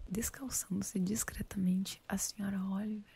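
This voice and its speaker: A woman whispers, soft-spoken and somewhat breathy. Her pace is fairly slow. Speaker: ASMR creator. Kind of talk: audiobook-style book reading for sleep. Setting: studio with binaural microphone, rain in background. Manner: soft-spoken, whispered.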